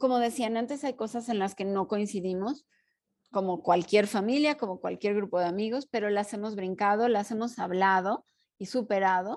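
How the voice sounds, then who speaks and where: The background is quiet as a woman talks at a moderate pace. Her pitch moves with ordinary variation. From Mexico. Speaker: podcast co-host, art historian and teacher. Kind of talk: casual chat.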